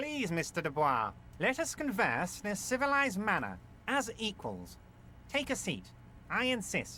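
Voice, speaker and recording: A nasal, fairly high put-on character voice moves at a moderate pace with long, frequent pauses. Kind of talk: formal, courteous. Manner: polite, formal, civilized.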